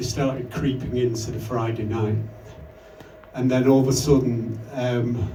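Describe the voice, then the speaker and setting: Fairly slow, monotone delivery with long, frequent pauses, audible room echo and noticeable background noise. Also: man, medium pitch for a man. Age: 60s. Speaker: electronic musician. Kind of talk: interview. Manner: halting.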